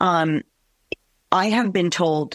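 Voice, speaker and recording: Her fairly low pitch moving with ordinary variation, a woman speaks in a dry, close sound with no echo. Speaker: veterinarian. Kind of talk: interview.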